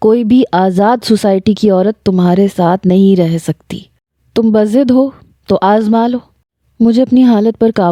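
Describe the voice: Quiet background behind plain reading aloud with ordinary pitch variation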